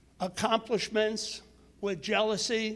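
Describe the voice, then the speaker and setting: At a very slow pace, a man speaks in a high pitch. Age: 80s+. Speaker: member of the public speaking at school committee meeting. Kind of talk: public comment at a meeting. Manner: forceful, exhorting.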